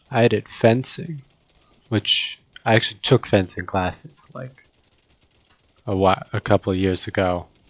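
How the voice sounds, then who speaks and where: A soft-spoken man with a fairly low voice talks at a fairly slow pace with ordinary pitch variation, long and frequent pauses, and a dry, close sound that has no echo. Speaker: gaming youtuber. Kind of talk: gameplay commentary. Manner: hesitant, filler-heavy.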